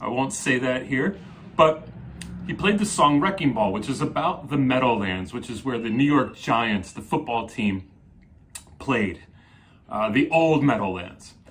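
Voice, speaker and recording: A man with an American accent speaks at a fairly slow pace in a medium pitch. His pitch swings very widely, broken by long, frequent pauses. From New Jersey. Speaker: psychotherapist. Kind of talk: solo video talk. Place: home room.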